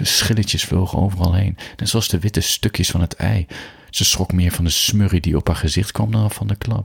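Someone reads text aloud. They use a natural voice to do it.

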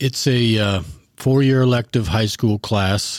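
With a Midwestern US accent, a man speaks at a moderate pace in a dry, close sound with no echo. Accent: US Midwest. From northern Illinois (Sterling). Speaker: high school JROTC instructor, army veteran. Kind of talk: interview.

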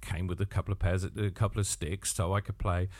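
In a very clean recording with a silent background, a man talks. He has an English Midlands accent and a fairly low pitch. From Northamptonshire, England. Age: 50s. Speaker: podcaster and drummer. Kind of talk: solo podcast monologue. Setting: home studio.

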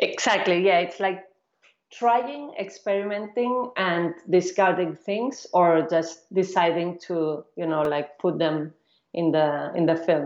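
A woman speaks at a fairly slow pace in a fairly low pitch, with ordinary pitch variation. Hers is an ordinary speaking voice. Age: 40s. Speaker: film director. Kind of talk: interview.

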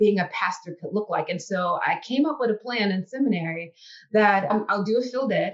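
With a Mississippi accent, a woman speaks at a moderate pace in a fairly high pitch, her intonation lively. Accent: Southern US (Mississippi). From US South, Biloxi, Mississippi Gulf Coast. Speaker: university chaplain and dean. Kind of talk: interview.

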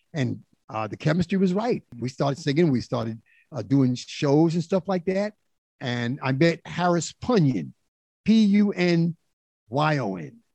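With a New York accent, a man speaks at a fairly high pitch with very wide pitch swings and a dark, mellow tone. His fairly slow delivery has a dry, close sound with no echo over a quiet background. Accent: New York (Bronx). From New York City, South Bronx. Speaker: disco singer and producer. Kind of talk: storytelling interview.

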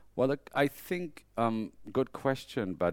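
With a German accent, the speaker's pitch swings very widely in a very clean recording with a silent background. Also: man. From Germany. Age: 50s. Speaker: fashion photographer. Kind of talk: interview. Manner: halting.

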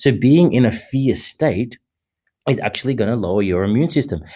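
A man's dark, mellow voice with an Australian accent, on a very clean recording with a silent background. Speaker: men's coach and meditation leader. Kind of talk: solo podcast monologue. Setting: studio. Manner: halting, many fillers and repetitions.

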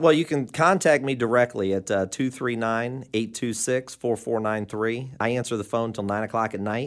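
With hardly any pauses, a man with a normal speaking voice talks at a fairly slow pace, medium pitch and ordinary pitch variation. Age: 40s. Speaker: mortgage broker. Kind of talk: casual chat.

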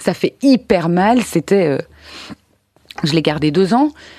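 The voice has a dark, mellow tone and lively intonation at a fairly slow pace, with a dry, close sound, no echo and a quiet background. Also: woman. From Belgium, Brussels. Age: 30s. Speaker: interview guest. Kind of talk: testimony.

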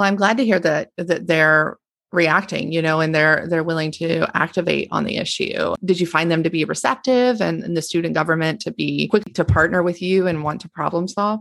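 An unremarkable speaking voice from a woman, fairly low in pitch with ordinary pitch variation, at a moderate pace with hardly any pauses. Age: 40s. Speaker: podcast host, nonprofit communications officer. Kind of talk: interview.

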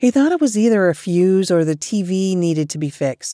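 In an ordinary speaking voice, a woman with a medium pitch talks at a moderate pace with lively intonation, the sound dry and close with no echo on a very clean recording with a silent background. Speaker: book podcast host. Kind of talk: ghost story telling, scripted-sounding narration of spooky true tales. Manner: hushed, suspenseful, steady storyteller pacing.

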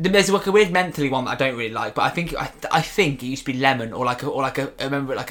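With a British accent, a man speaks at a very fast pace and with lively intonation. Noticeable background noise is present. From UK. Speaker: podcast co-host. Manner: chatty, rambling, jokey.

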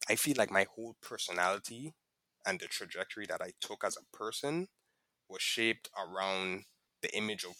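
Recorded dry and close with no echo, a man talks at a medium pitch with lively intonation and a bright, sharp tone. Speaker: podcast guest, host's close friend. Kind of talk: casual chat. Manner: dry, sarcastic delivery when joking.

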